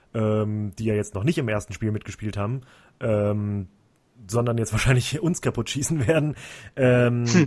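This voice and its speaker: On a very clean recording with a silent background, a man with medium pitch speaks at a moderate pace in an unremarkable speaking voice. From Central Hesse, Germany. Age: 30s. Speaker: football podcast host. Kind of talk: casual chat.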